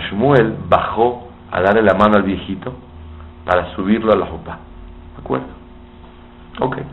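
A man speaks at a moderate pace with a fairly low pitch and ordinary pitch variation, leaving long, frequent pauses. Noticeable background noise and audible room echo are present. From Mexico. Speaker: rabbi. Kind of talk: sermon.

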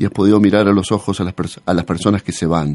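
Over a quiet background, a man with a dark, mellow tone talks at a fairly quick pace, his pitch fairly low with ordinary variation. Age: 40s. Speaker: radio host. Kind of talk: radio interview. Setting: radio studio. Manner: halting.

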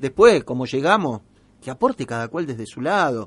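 Here a man speaks at medium pitch and a moderate pace. His intonation is lively. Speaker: radio host. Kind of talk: radio talk show. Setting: radio studio. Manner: halting, many fillers.

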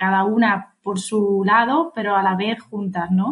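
Somewhat breathy, a woman speaks at a medium pitch with fairly even intonation. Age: 30s. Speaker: podcast co-host, health coach. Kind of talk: casual chat. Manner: halting.

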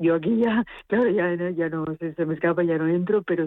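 A woman is speaking. Her pace is moderate. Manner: halting.

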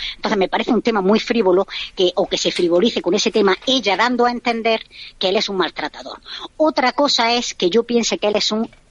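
Her fairly high pitch shows ordinary variation as the woman speaks. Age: 30s. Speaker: reality TV fan commentator. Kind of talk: radio interview, casual chat. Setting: remote call-in from abroad. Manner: animated. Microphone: clear line.

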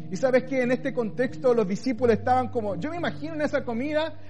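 The man's pitch is extremely high. His intonation is lively. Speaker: pastor. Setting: online church service, recorded for video. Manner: tender, pastoral, persuasive; slows into a fatherly voice when voicing God's words; firm, convicted, emphatic on key declarations.

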